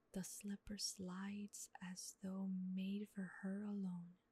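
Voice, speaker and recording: Soft-spoken delivery at a very slow pace. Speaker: ASMR artist. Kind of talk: sleep story.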